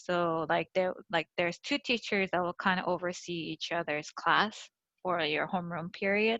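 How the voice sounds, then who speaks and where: A woman talks at a fairly slow pace. Her medium pitch keeps to a fairly even intonation. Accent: Korean. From Seoul, South Korea, then Georgia US from age ~10. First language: Korean. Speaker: podcast guest. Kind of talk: casual interview. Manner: hesitant, many fillers.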